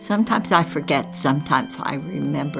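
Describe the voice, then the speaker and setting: Over music in the background, a woman speaks at a moderate pace with a very deep, low pitch. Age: 80s+. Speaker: lint artist. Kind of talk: documentary interview, talking while working.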